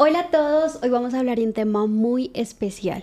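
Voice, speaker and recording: With a dark, mellow tone, a woman speaks at a moderate pace and ordinary pitch variation. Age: 20s. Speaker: podcast host. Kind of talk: casual chat.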